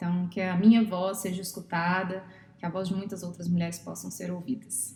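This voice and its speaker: Flat, monotone intonation in a medium-pitched female voice. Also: moderate pace. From Brazil, Minas Gerais. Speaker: psychologist and therapist. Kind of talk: podcast interview.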